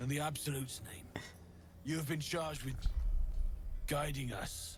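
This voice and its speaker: A man's raspy, put-on character voice at a fairly high pitch and moderate pace, over clear background noise. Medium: video game.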